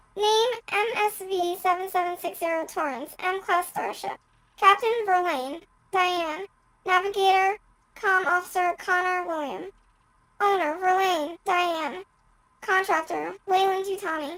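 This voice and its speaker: A woman performs a put-on character voice, squeaky and extremely high in pitch. She delivers it at a fairly slow pace. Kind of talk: flat robotic reading of data. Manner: monotone.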